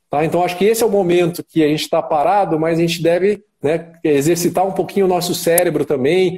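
His pitch high, a man speaks at a fairly quick pace with hardly any pauses, very even loudness and fairly even intonation. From Curitiba, southern Brazil. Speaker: sports dentist. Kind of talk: live-stream interview.

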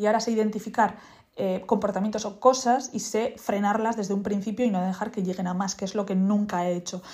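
Somewhat breathy, a woman speaks at a fairly quick pace with monotone, flat intonation. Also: medium pitch for a woman. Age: 20s. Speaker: podcaster. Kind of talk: casual monologue.

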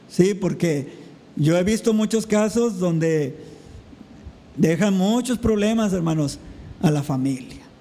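Over noticeable background noise and audible room echo, a man speaks very slowly in a high voice with ordinary pitch variation. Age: 40s. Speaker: pastor. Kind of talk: sermon.

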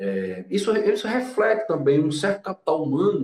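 Somewhat breathy, a man speaks at a moderate pace. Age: 30s. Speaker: law professor. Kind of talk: explanatory lecture-style conversation.

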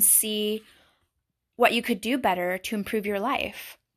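On a very clean recording with a silent background, a woman with a plain, everyday voice speaks at a moderate pace in a fairly high pitch with ordinary pitch variation. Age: 30s. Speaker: podcast host and beautician. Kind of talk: solo podcast monologue.

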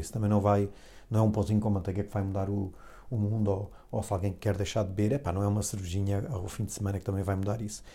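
Dark, mellow, somewhat breathy speech at a very fast pace, with a European Portuguese accent. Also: man. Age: 40s. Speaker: podcast host. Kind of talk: solo monologue podcast. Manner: halting, many fillers and repetitions.

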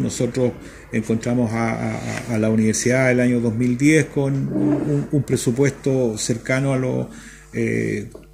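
Over noticeable background noise, a man of medium pitch talks at a fairly slow pace with ordinary pitch variation. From central Chile (Talca). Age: 60s. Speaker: university rector. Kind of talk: radio interview. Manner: halting, many fillers and repetitions.

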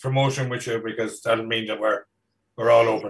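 A man with an Irish accent and fairly even intonation. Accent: Irish (Mayo). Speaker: podcast host. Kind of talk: casual chat, interview.

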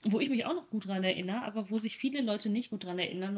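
A woman speaks at medium pitch over noticeable background noise. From Germany, East Westphalia. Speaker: podcast co-host. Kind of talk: casual chat. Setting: video call.

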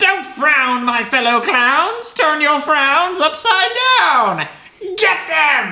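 Speaking at a very slow pace, a put-on character voice cackles in a high pitch, with audible echo around it. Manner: cackling, menacing.

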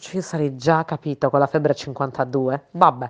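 Her very deep, low pitch carries an animated tone as this woman speaks at a moderate pace, the sound dry and close with no echo. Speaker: podcast co-host. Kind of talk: casual chat. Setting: recorded voice messages.

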